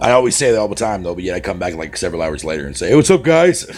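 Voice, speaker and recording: A man talking at a very fast pace with lively intonation over noticeable background noise. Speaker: gaming livestreamer. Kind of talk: casual live stream chat. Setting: live stream. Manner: animated.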